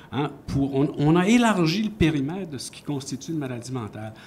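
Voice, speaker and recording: At a moderate pace, a man talks with lively intonation in a somewhat breathy, fairly high voice. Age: 70s. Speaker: science journalist. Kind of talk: panel discussion.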